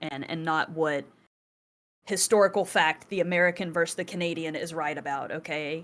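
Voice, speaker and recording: A woman with a Southern US accent at a fairly quick pace. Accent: Southern US twang. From US South. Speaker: podcast co-host. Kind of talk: casual chat. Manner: animated, conversational with fillers.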